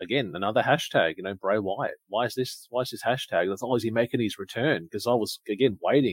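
A man with an Australian accent at medium pitch, fairly quick pace and ordinary pitch variation. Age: 30s. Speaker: podcast co-host. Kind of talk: casual chat. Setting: live stream.

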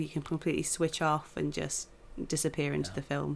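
On a very clean recording with a silent background, a woman with a British accent talks at a very fast pace, her very deep, low voice showing vocal fry. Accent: British English, common. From England. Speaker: film journalist. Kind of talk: casual chat.

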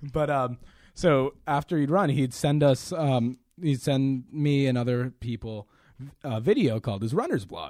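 A man's plain, everyday voice at a medium pitch, fairly slow pace, and ordinary pitch variation, on a very clean recording with a silent background. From Quincy, Massachusetts (Boston area). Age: 20s. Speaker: college student podcast co-host. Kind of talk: casual chat.

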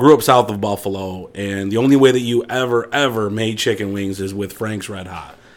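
A man with an unremarkable speaking voice and an American accent talks at a moderate pace, with hardly any pauses. His fairly low pitch keeps a fairly even intonation while his loudness swings widely. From western New York. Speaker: barbecue social media cook. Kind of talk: casual chat.

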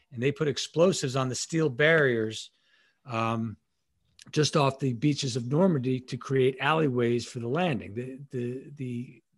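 A man speaks in an American accent, somewhat breathy, with ordinary pitch variation. The background is quiet. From Long Island, New York. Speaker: leadership consultant, former Navy SEAL and FBI agent. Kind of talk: casual interview.

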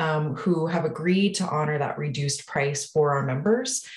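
A woman's very deep, low pitch at a moderate pace, with audible room echo. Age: 30s. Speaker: nonprofit executive director. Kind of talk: interview.

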